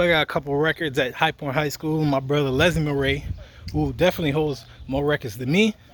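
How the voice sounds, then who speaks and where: A man with an American accent talks very fast at a fairly high pitch with fairly even intonation. Noticeable background noise runs underneath. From US Virgin Islands, left at eight, grew up in Maryland, US. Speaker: fitness instructor. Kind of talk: casual vlog while walking. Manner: casual, with filler words.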